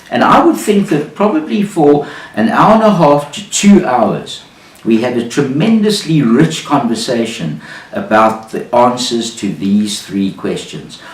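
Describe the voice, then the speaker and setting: A man with a fairly high pitch, a fairly slow pace and very wide pitch swings, amid noticeable background noise. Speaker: business storyteller. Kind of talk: business storytelling talk to camera.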